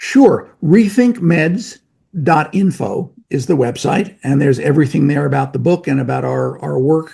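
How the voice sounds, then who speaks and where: This man has an American accent. He talks at a moderate pace. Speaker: medical professor and drug-safety researcher. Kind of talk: casual interview.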